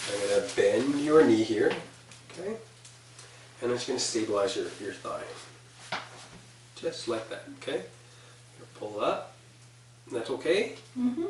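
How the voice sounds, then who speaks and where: Against light background noise and audible room echo, a man speaks at a fairly slow pace with long, frequent pauses. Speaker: clinician demonstrating exam. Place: office. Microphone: camera far.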